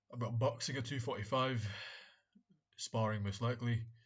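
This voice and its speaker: With fairly even intonation and a medium pitch, a man's voice comes across somewhat breathy. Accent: British. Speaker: vlogger, medical student. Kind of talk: casual vlog monologue. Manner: halting, repeats words.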